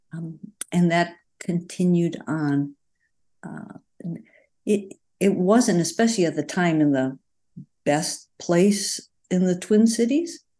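Against a quiet background, a woman speaks very slowly at a fairly low pitch, with long, frequent pauses. Her loudness swings widely while her pitch varies in an ordinary way. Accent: Upper Midwest. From rural Wisconsin. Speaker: retired family physician. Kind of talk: casual interview.

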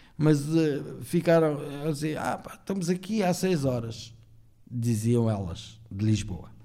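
Through audible room echo, a man with a fairly high pitch speaks at a very slow pace in a dark, mellow tone, using very wide pitch swings. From Portugal (born in Angola, arrived at about eight). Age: 50s. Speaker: podcast guest, former café owner. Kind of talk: casual chat.

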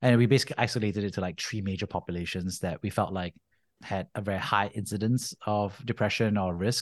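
A man with an American accent talks very fast in a fairly low voice with fairly even intonation, the sound dry and close with no echo over a quiet background. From Singapore. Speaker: venture capital investor. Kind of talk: interview. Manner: casual, many fillers.

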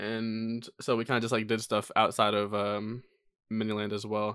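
The recording is very clean, with a silent background. A man speaks in a plain, everyday voice at medium pitch with fairly even intonation. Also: dry, close sound with no echo. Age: 20s. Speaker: podcast co-host. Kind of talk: casual chat.

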